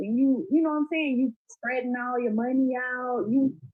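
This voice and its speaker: A woman speaks fairly slowly in a high voice with an animated tone. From Florida. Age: 30s. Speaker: podcast guest. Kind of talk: casual chat.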